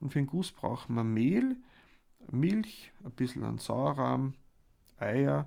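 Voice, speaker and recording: A man with an Austrian accent at a very slow pace. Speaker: cooking podcast host. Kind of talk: casual chat and recipe explanation.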